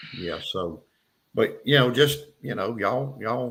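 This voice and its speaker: This man has a bright, sharp tone. He talks with an Appalachian accent. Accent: Southern US, Appalachian-sounding. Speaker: knife and leatherwork YouTuber. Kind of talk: casual chat.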